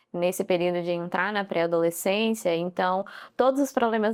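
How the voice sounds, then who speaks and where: This woman talks at a moderate pace with fairly even intonation. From Guarulhos, São Paulo, Brazil. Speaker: nutritionist. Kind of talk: casual interview chat.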